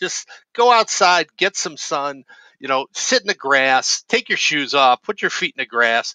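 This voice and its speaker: A man with a fairly high pitch and a bright, sharp tone speaks at a fairly slow pace with very wide pitch swings, in a dry, close sound with no echo. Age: 60s. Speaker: community nonprofit leader. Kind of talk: casual interview. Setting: live video stream.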